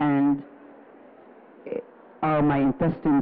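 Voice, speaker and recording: Noticeable noise fills the background. The speaker keeps a moderate pace. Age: 70s. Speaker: audience member asking a question. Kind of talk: question from the audience.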